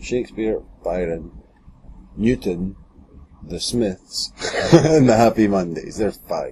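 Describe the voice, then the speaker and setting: A man talks with long, frequent pauses. His loudness swings widely. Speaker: podcast host. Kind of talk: casual chat.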